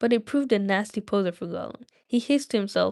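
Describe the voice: Over a quiet background, the recording holds plain reading aloud.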